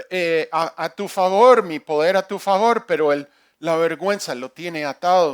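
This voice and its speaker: Speaking at a fairly slow pace with a non-native accent, a man is heard in a very clean recording with a silent background and a dry, close sound with no echo. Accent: non-native Spanish, imperfect. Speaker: pastor. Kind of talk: sermon. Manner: halting, with repetitions.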